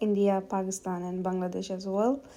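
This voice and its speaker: A woman's voice carries a dark, mellow tone and a monotone, flat intonation. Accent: Bengali. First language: Bengali. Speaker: home cook. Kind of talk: cooking video voice-over. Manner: hesitant, many fillers.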